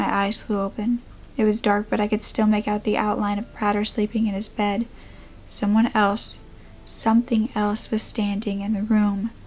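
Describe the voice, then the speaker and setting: Music plays in the background as a woman speaks at a moderate pace. Her fairly high-pitched voice has monotone, flat intonation. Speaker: creepypasta / true crime storyteller. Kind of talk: first-person horror story narration.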